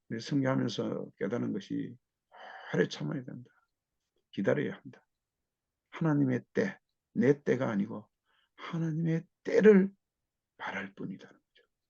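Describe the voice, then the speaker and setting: A man speaks with long, frequent pauses. His loudness swings a lot. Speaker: missionary. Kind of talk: testimony. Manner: slow.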